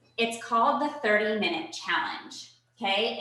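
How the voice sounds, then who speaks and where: In a room with audible echo, a woman speaks in an energetic tone with lively intonation and a fairly high pitch. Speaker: personal trainer. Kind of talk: virtual fitness workshop. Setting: video call. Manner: energetic, instructive.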